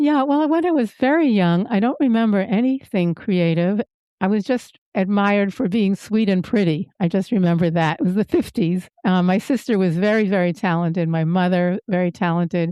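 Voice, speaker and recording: At a moderate pace and with hardly any pauses, a woman speaks at medium pitch with lively intonation, very even loudness and a dark, mellow tone, in a very clean, dry, close recording with a silent background and no echo. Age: 70s. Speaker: nurse and artist. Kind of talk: interview.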